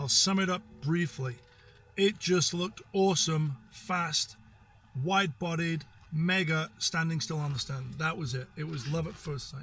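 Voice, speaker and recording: At a fairly slow pace, the voice has a bright, sharp tone, ordinary pitch variation and an American accent. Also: man, high pitch for a man. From northern England, Sheffield. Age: 50s. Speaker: car collector. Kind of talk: interview.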